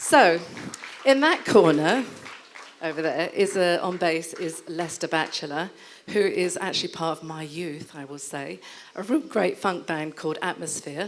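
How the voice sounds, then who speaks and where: A woman speaks at a fairly low pitch and a fairly slow pace, with big swings in loudness. Some room echo is audible. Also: ordinary pitch variation. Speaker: event host introducing musicians. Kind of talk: live stage introduction. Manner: animated.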